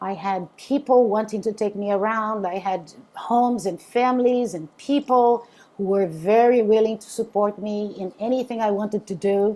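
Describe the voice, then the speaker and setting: A woman with a Brazilian accent speaks in a dark, mellow tone, medium in pitch with fairly even intonation. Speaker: interfaith minister. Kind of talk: spiritual talk to a group. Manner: halting, many fillers.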